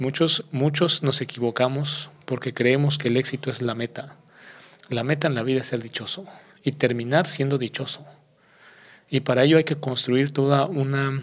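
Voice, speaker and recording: Speaking at a moderate pace, the man has a medium pitch, fairly even intonation, and a plain, everyday voice. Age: 40s. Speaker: former public official. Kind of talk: interview.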